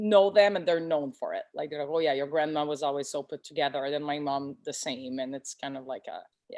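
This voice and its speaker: A woman with a Quebec accent, her pitch very deep and low, with ordinary pitch variation. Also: fairly quick pace, big swings in loudness. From Quebec, Canada. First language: French. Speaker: boutique owner. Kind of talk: interview.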